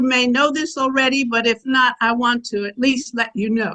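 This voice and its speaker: Using a raised, projected voice, a woman speaks at a moderate pace with a high pitch and a bright, sharp tone. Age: 80s+. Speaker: audience member. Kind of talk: public comment. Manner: halting.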